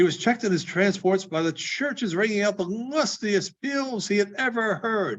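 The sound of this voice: Reading in an unforced voice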